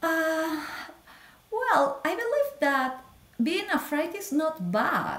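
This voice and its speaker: A woman speaks very slowly with a Spanish accent. Noticeable background noise is present. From Peru. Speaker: physician. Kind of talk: interview. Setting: video call.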